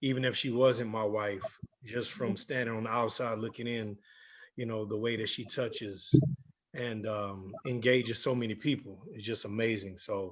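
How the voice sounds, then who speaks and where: This man has an unremarkable speaking voice of medium pitch. He keeps a moderate pace and fairly even intonation. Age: 40s. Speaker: entertainer, panelist. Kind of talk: panel introduction.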